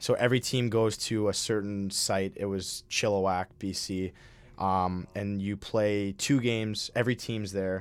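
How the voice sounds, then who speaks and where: A man with an Upper Midwest accent speaks at a fairly low pitch in a monotone, flat intonation on a very clean recording with a silent background. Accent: Upper Midwest American. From Minnesota. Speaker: college hockey player. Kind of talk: interview. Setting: studio.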